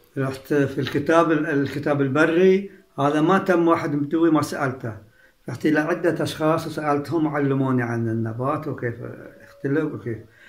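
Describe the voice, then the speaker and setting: This man's fairly high voice moves at a moderate pace with ordinary pitch variation, and audible room echo surrounds it. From Saudi Arabia, Al-Ahsa (Eastern Province). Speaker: heritage researcher and author. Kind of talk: interview.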